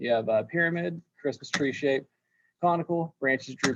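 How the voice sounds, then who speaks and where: Pitch variation is ordinary. The pace is fairly slow. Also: man. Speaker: landscape design teacher. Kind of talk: lecture. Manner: halting with fillers.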